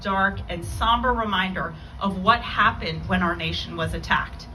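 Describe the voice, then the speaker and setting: Noticeable background noise and audible room echo around a woman's moderate-paced speech. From Iran. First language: Farsi. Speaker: lawyer and keynote speaker. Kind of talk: memorial keynote speech. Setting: memorial event with audience. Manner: formal.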